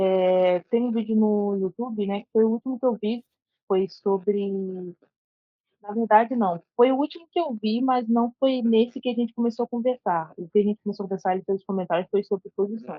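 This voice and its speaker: Moderately paced female speech, fairly high in pitch, with ordinary pitch variation. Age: 20s. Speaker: jiu-jitsu brown belt student. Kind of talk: casual chat, asking questions. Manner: hesitant, many fillers.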